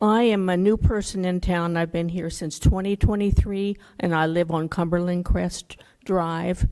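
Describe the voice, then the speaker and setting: In a very clean recording with a silent background, a woman speaks at a moderate pace. Her fairly low voice has a dark, mellow tone and monotone, flat intonation. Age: 70s. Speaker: resident giving public comment. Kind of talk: public comment. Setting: town board meeting.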